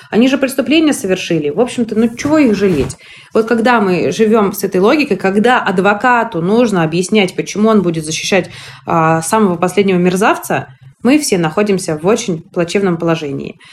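Talking at a fairly quick pace, a woman with a normal speaking voice uses lively intonation. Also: medium pitch for a woman, very even loudness. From Russia, Moscow. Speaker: women's rights activist, NGO founder. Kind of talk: podcast interview.

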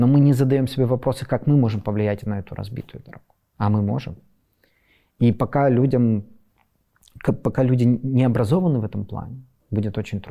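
A man with a dark, mellow tone speaks at a fairly quick pace, his medium-pitched voice keeping a fairly even intonation. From western Ukraine. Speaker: civic activist. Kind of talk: interview monologue. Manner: halting.

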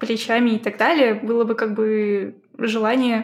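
Fairly high-pitched woman speaking at a very slow pace. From Russia, Izhevsk. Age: 20s. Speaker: 2D artist. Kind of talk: casual chat.

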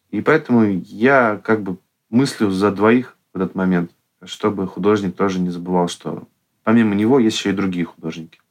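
A plain, everyday voice from a man, fairly low in pitch, with ordinary pitch variation, a moderate pace and a quiet background. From Russia, Yekaterinburg. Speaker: artist and meme channel creator. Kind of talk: casual interview.

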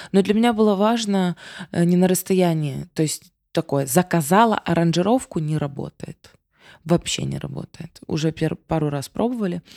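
Heard dry and close with no echo, a woman speaks in a dark, mellow tone with ordinary pitch variation. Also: fairly low pitch for a woman, moderate pace. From Ukraine. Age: 30s. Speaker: singer. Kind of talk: casual chat. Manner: animated.

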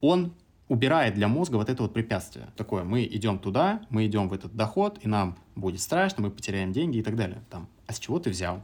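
An ordinary speaking voice from a man, fairly low in pitch, with lively intonation and a fairly quick pace, on a very clean recording with a silent background. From Samara region, Russia. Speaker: entrepreneur. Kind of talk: casual interview.

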